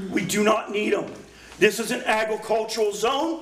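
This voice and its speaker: Amid noticeable background noise and audible room echo, a man speaks loudly at a high pitch. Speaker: public commenter at community meeting. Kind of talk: public comment at community meeting.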